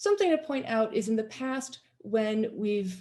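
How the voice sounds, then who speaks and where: A woman speaks at a moderate pace. Her voice is somewhat breathy, with a dark, mellow tone. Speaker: theater arts teacher. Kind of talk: presentation to prospective families.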